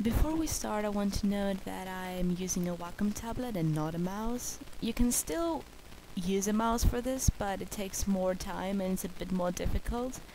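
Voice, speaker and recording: With a non-native accent and lively intonation, a woman of medium pitch speaks at a moderate pace amid audible room echo. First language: not English. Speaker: art tutorial creator. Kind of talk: tutorial. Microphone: bad microphone.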